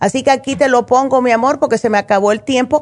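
The woman's voice is high-pitched and animated in tone. Her pitch varies in an ordinary way. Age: 60s. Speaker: naturopath radio host. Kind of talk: call-in health advice show.

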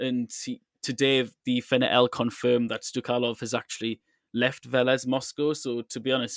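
A man's medium-pitched, monotone voice at a moderate pace, dry and close with no echo, on a very clean recording with a silent background. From England. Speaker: podcast host. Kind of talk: casual chat.

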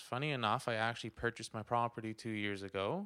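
Speaking with a Canadian accent, a man keeps a moderate pace and fairly even intonation. His tone is bright and sharp. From Ottawa, Canada. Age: 20s. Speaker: real estate agent. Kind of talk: interview.

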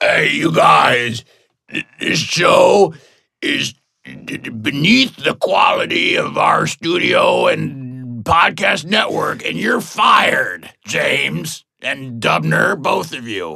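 Put-on character voice from a man, delivered very slowly. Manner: dismissive, angry firing.

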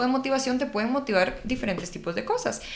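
A woman talks with lively intonation while audible room echo fills the space. Noticeable background noise is also present. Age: 20s. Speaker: public speaking coach, podcast co-host. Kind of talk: casual chat.

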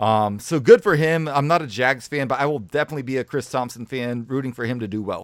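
At a very fast pace with hardly any pauses, a man talks at medium pitch with ordinary pitch variation. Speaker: podcast producer and co-host. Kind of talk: casual chat.

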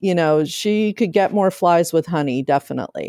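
Recorded very cleanly against a silent background, a woman speaks with a Midwestern US accent. Her voice is fairly low-pitched with a dark, mellow tone, and the sound is dry and close with no echo. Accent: US Midwest. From Ohio, Akron. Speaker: novelist. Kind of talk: interview. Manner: hesitant, many fillers.

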